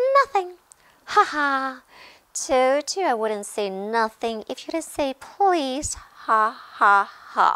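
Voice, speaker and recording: A put-on character voice, female-sounding and high, sing-song and cackling. It moves at a very slow pace. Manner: sing-song, taunting, cackling.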